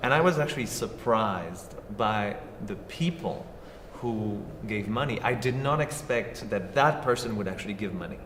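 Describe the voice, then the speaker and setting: The speaker has a French accent and lively intonation. Audible room echo and noticeable background noise surround the voice. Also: man, medium pitch for a man, moderate pace. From southern France. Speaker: actor and filmmaker. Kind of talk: talk show interview.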